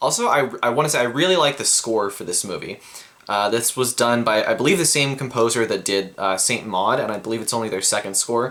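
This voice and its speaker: A man talks at a fairly quick pace. His pitch is medium with ordinary variation. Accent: American. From United States. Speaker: film reviewer. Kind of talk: video review. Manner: halting, many fillers.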